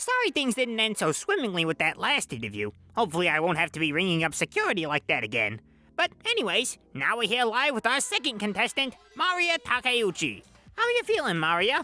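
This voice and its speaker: Over faint music in the background, a man uses a put-on character voice with a high pitch. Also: fairly quick pace. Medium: audio drama. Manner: brash, folksy, wisecracking.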